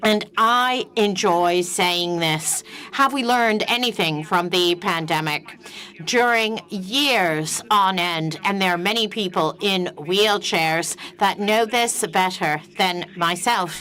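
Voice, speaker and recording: A woman at a very slow pace and very even loudness, over noticeable background noise. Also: medium pitch for a woman, ordinary pitch variation. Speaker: panel speaker, wheelchair user. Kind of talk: panel talk.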